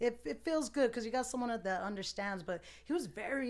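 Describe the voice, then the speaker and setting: A woman with an American accent talks at a fairly quick pace in a plain, everyday voice with ordinary pitch variation. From Tucson, Arizona. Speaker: barber and DJ. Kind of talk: casual chat.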